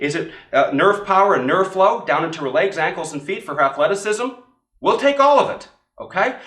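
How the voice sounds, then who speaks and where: Animated and fairly quick, a man talks in a high pitch that swings very widely. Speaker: chiropractor teaching other chiropractors. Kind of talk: instructional demonstration. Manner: fast.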